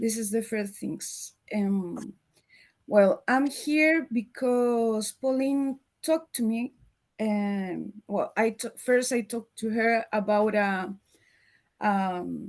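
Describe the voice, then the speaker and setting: The speech moves at a very slow pace with ordinary pitch variation, in a Chilean accent. The background is quiet. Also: woman, fairly high pitch for a woman. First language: Spanish. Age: 50s. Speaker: marketer. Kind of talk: presentation. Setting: video call. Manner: halting.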